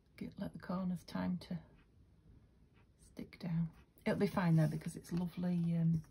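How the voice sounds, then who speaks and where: A woman speaks at a moderate pace in a somewhat breathy, dark, mellow tone, her intonation flat and monotone. Her loudness swings widely, and her pauses are long and frequent. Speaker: craft video maker. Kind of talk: craft tutorial. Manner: quiet; casual, hesitant.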